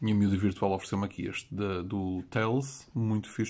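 Here a man has a dark, mellow tone. He talks at a fairly quick pace. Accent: European Portuguese. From Portugal. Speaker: YouTube collector channel host. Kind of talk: comedic vlog monologue. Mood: playful, mock-serious. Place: home room. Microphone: phone near.

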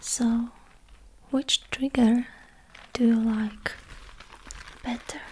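At a very slow pace with long, frequent pauses, a woman talks in a monotone, flat intonation at a fairly high pitch. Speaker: ASMR creator playing an interviewer. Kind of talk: ASMR roleplay, personality test interview. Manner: soft-spoken, whispering. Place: home room. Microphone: studio mic.

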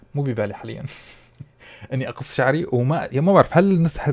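Pitched fairly high, a man speaks with ordinary pitch variation. His pace is fairly quick. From UAE, Syrian family. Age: 30s. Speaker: food content creator. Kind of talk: casual Q&A vlog.

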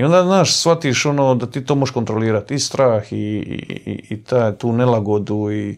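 Against a quiet background, a man speaks at a moderate pace with a Dalmatian accent and hardly any pauses. His voice is medium in pitch with ordinary pitch variation. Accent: Dalmatian Croatian. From Dalmatia, Croatia (Omiš); Dalmatia, Croatia. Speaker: adventurer and travel vlogger; travel vlogger. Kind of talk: casual chat. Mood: calm, reflective. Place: home room. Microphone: lapel.

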